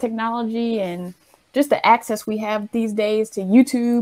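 With an American accent, a woman speaks in a dark, mellow tone at a fairly high pitch. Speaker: interviewer. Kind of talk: casual interview.

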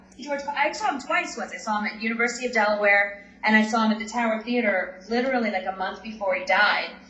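A woman's fairly high voice at a very fast pace with hardly any pauses, ordinary pitch variation and noticeable background noise. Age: 40s. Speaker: stand-up comedian. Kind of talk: casual interview.

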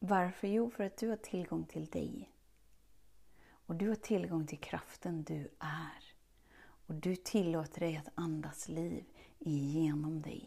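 Her voice somewhat breathy, a woman speaks very slowly at a fairly low pitch, with a dark, mellow tone and ordinary pitch variation. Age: 30s. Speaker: self-love coach podcast host. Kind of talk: motivational monologue. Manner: animated.

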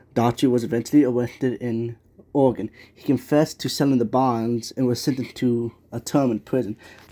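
A man with an unremarkable speaking voice talks at a medium pitch and moderate pace, keeping his intonation fairly even. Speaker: podcaster. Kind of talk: true-crime narration read from a script, steady and even. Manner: measured, storytelling pace, serious; casual and humble in the intro, with filler words.

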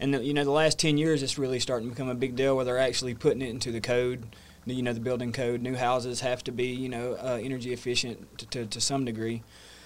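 With a Southern US accent, a man talks at a very fast pace and medium pitch, hardly pausing, his intonation monotone and flat. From US South, North Georgia. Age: 30s. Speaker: energy efficiency business owner. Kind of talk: casual interview. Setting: studio.

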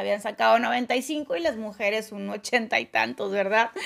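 A woman is talking. Noticeable background noise runs beneath her voice. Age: 30s. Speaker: leadership coach and podcast host. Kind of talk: motivational monologue. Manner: casual, with laughs.

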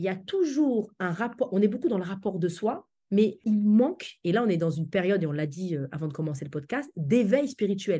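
Against a quiet background, a somewhat breathy woman talks at a fairly quick pace, her medium pitch moving in very wide swings. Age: 40s. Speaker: public speaking coach. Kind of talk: interview.

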